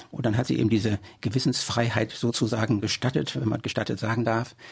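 The man's somewhat breathy voice sits at medium pitch and moves at a moderate pace. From Germany. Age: 70s. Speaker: local party politician. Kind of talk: interview. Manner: hesitant with fillers.

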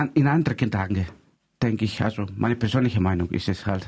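A Greek accent with ordinary pitch variation. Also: man. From Greece. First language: Greek (speaking German). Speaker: community radio host. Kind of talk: casual chat.

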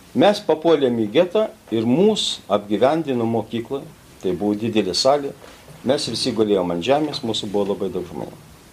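Lively intonation at a fairly quick pace comes over noticeable background noise. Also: man, medium pitch for a man. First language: Lithuanian (speaking German). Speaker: rescuer and witness. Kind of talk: testimony. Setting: school auditorium with audience.

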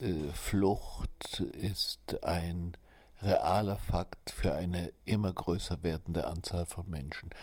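Very slowly and somewhat breathily, a man talks in a very deep, low pitch on a very clean recording with a silent background. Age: 70s. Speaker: writer. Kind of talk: interview testimony.

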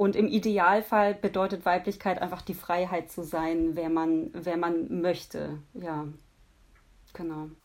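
This woman's voice sits fairly low and moves with ordinary pitch variation. She speaks at a very slow pace. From Nuremberg, Franconia, Germany. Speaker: singer-songwriter. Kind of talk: interview. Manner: hesitant, many fillers.

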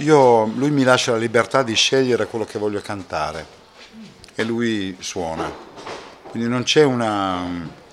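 Noticeable background noise sits behind a man with a medium pitch. He speaks at a moderate pace with lively intonation. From Italy. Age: 50s. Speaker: singer-songwriter. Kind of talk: interview. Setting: backstage after a concert.

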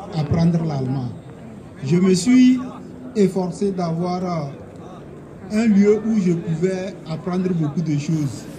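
Pausing long and often, a man with a high pitch speaks at a very slow pace and ordinary pitch variation, with audible room echo and noticeable background noise. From Togo. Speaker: asylum seeker. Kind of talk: testimony. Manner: halting.

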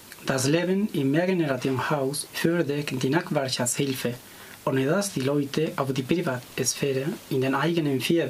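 A man's fairly high pitch at a moderate pace, over noticeable background noise. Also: very even loudness. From Catalonia, Spain. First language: Catalan or Spanish (speaking German). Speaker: language student. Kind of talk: reading aloud.

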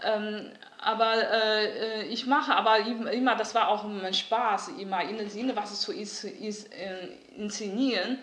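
A woman with a Mandarin Chinese accent, fairly high-pitched, at a fairly slow pace with fairly even intonation, amid noticeable background noise and audible room echo. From northeast China, Liaoning. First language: Mandarin Chinese (speaking German). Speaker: artist. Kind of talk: interview. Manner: halting, many fillers.

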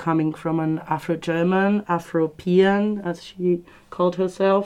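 A woman talks in a Spanish accent at a fairly slow pace. Her voice is fairly low in pitch, with monotone, flat intonation. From Argentina. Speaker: conference participant. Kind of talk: radio panel discussion. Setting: studio.

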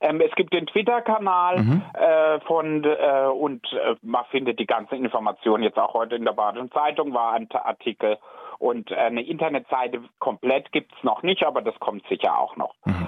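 A man talks at a moderate pace with a fairly high pitch and very wide pitch swings. His loudness stays very even. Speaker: drag queen. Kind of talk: radio interview. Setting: phone call.

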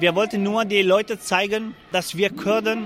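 Through noticeable background noise, a man's voice can be heard. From Syria, Afrin region (Kurdish). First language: Kurdish (speaking German). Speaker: refugee protester. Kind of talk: interview. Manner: halting.

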